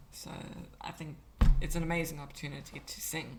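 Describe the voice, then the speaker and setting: A woman's very deep, low voice with vocal fry and audible room echo. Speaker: vtuber streamer. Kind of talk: casual interview chat.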